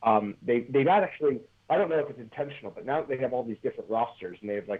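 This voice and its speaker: Ordinary pitch variation marks a man's speech in an American accent. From Philadelphia, US. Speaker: professional wrestler. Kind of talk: interview. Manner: halting, many repeated words.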